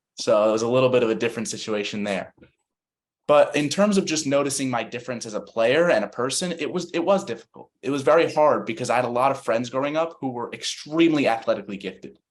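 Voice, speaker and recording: A man with an American accent at a medium pitch, very fast pace and lively intonation. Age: 20s. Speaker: CP soccer national team player. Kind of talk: panel discussion.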